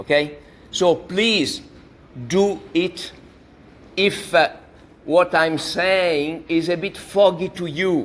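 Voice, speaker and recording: Pausing long and often, a man with an Italian accent speaks at a very slow pace in a high voice with fairly even intonation. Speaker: university lecturer. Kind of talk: lecture.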